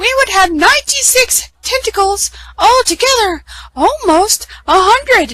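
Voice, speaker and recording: A woman puts on a squeaky character voice at an extremely high pitch, talking at a fairly slow pace. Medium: read story. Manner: warm, gentle.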